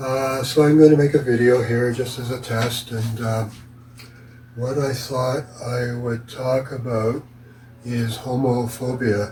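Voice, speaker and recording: Over noticeable background noise, a man talks at a medium pitch and a very slow pace with monotone, flat intonation. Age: 80s+. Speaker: retired photographer and vlogger. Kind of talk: casual monologue. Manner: halting.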